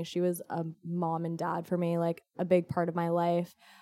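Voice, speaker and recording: With a Californian accent, a woman speaks at a fairly slow pace and a fairly low pitch in a very clean recording with a silent background. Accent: Californian American. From US West Coast, Orange County, California. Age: 20s. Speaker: fitness instructor and event organizer. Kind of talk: casual interview.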